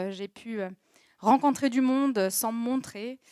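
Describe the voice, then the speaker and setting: A woman speaks at a fairly high pitch. The sound is dry and close with no echo, on a very clean recording with a silent background. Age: 30s. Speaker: social media agency owner, talk speaker. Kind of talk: personal testimony talk. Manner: hesitant, many fillers.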